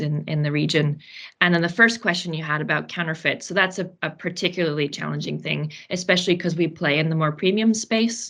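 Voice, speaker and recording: A woman with a very deep, low voice speaks with vocal fry and ordinary pitch variation. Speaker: operations director of a fashion brand. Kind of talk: podcast interview. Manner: frequent filler words (um, uh).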